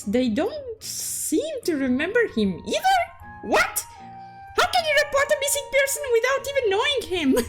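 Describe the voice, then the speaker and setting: Music plays behind a woman doing a put-on character voice, squeaky and bubbly at an extremely high pitch, with very even loudness and a moderate pace. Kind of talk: goofy game story recap. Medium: solo performance. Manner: bubbly, exaggerated, self-referring in third person.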